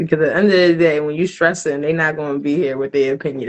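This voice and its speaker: A woman with a slight New Jersey accent speaks at a very deep, low pitch with ordinary pitch variation. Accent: slight New Jersey twang. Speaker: spoken word poet. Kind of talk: casual interview chat. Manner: casual, many fillers.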